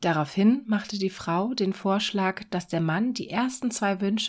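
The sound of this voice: An unforced reading voice is what this clip offers.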